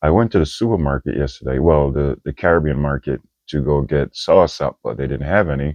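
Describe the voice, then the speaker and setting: Here a man speaks with a Jamaican accent. His voice is very deep and low, at a fairly quick pace. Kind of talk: casual talk to camera.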